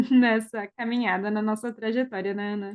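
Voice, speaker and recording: A woman speaks at a moderate pace, with a quiet background behind her. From Brazil, Rio Grande do Sul (Teutônia). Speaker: speech therapist and podcast co-host. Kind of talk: casual chat.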